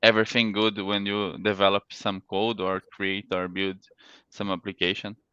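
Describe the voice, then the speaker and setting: A man with a non-native accent speaks at a moderate pace in a fairly low pitch, his intonation monotone and flat. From Brazil, Santa Catarina. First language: Portuguese. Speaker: security engineer, workshop speaker. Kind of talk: technical presentation. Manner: halting.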